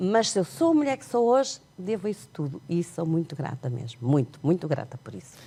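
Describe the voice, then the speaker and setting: At a fairly quick pace with hardly any pauses, a woman with a fairly low, somewhat breathy voice and a dark, mellow tone makes very wide pitch swings and big swings in loudness. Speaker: sign language interpreter and author. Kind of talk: TV interview.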